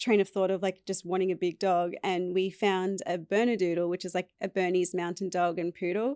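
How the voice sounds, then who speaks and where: An Australian accent marks this woman's dark, mellow tone, delivered at a fairly quick pace. The recording is very clean with a silent background, and the sound is dry and close with no echo. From Australia, East Coast. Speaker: podcast guest. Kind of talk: casual interview chat.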